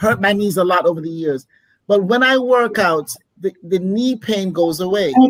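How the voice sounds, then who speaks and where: A woman uses a plain, everyday voice, speaking at a moderate pace with lively intonation. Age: 60s. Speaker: panelist on a talk show. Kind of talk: casual panel discussion.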